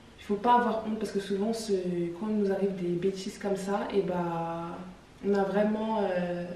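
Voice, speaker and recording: A woman speaks at a medium pitch and moderate pace in a monotone, flat way. Noticeable background noise and audible room echo surround her voice. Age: 20s. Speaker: singer. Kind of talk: casual chat.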